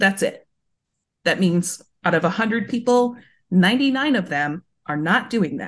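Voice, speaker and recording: Over a quiet background, the somewhat breathy voice moves very slowly with lively intonation and long, frequent pauses. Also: woman, medium pitch for a woman. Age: 30s. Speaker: game bundle organizer and science reporter. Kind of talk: casual chat.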